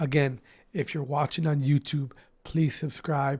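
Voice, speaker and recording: Somewhat breathy male speech, fairly slow in pace. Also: very clean recording, silent background. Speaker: esports podcast host. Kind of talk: casual podcast monologue. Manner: casual, informal.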